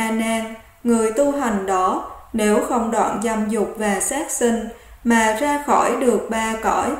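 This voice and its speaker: A woman speaks at a very slow pace with a fairly high pitch and ordinary pitch variation. Noticeable background noise sits behind her. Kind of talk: Buddhist sutra reading.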